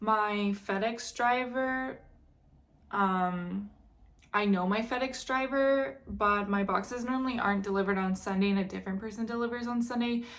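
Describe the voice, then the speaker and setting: A woman talks in a normal speaking voice, fairly high in pitch, at a moderate pace with ordinary pitch variation. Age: 20s. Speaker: online reseller and vlogger. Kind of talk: casual unboxing vlog. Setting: at home.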